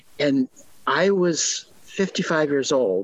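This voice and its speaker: With noticeable background noise behind him, a man in an American accent talks with lively intonation. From US Midwest, Milwaukee, Wisconsin. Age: 60s. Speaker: author and journalist. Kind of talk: interview.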